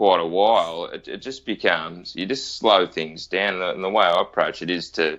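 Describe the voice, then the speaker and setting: A man speaks with an Australian accent. He leaves hardly any pauses. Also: fairly quick pace. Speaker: firefighter. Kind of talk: interview answer.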